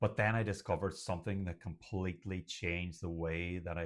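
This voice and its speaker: In an Irish accent, a man speaks with a very deep, low pitch and monotone, flat intonation. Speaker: doctor and stuttering coach. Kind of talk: talking-head video monologue. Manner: occasional repetitions and blocks.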